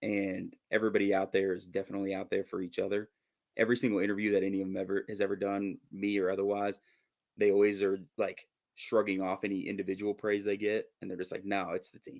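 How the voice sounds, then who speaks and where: Speaking at a very fast pace, a man with fairly low pitch delivers monotone, flat intonation with big swings in loudness. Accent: American. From Minnesota, US. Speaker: football fan commentator. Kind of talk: casual chat.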